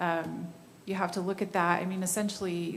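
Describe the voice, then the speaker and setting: Flat, monotone speech is heard with noticeable background noise and audible room echo. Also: woman. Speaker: city staff member. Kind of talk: public meeting discussion. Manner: halting.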